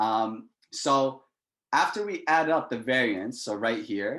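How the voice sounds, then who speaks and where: This man has a normal speaking voice at medium pitch, with ordinary pitch variation. The background is quiet. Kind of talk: lecture. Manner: casual.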